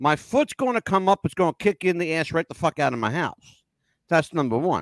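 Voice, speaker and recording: A man speaks in a high voice with an American accent. His intonation is lively and his tone animated. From US North. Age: 60s. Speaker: podcast host. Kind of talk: casual chat. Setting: live video call.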